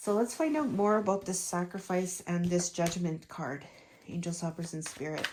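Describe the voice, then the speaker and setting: Fairly low in pitch, a woman with a normal speaking voice talks at a moderate pace with ordinary pitch variation. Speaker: tarot reader. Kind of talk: tarot reading.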